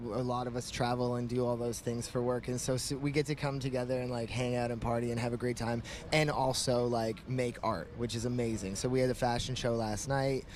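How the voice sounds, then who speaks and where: Against noticeable background noise, a man speaks in a flat monotone at medium pitch, fairly quickly and with hardly any pauses. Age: 30s. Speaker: rapper and clothing designer. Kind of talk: casual interview. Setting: outdoors at a street festival.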